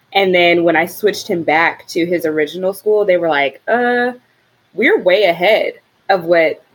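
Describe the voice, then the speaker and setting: With a normal speaking voice, a woman talks at a medium pitch and a moderate pace, her intonation lively. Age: 30s. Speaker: parent of two, host's sister. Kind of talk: casual chat.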